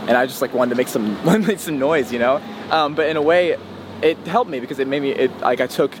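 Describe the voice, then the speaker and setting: A man with an American accent talks at a very fast pace. His pitch varies in an ordinary way over noticeable background noise. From West Virginia. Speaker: musician. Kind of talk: casual interview.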